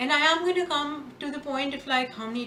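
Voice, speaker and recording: A woman's raised, projected voice at a fairly quick pace, with noticeable background noise. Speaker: spiritual guide and tarot reader. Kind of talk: casual talk to camera.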